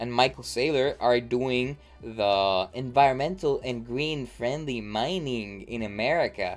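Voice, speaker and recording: A man with a non-native accent speaks at a very slow pace, with ordinary pitch variation. Music plays in the background. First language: not English. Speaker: crypto market analyst. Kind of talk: market review livestream; reading aloud. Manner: halting; casual.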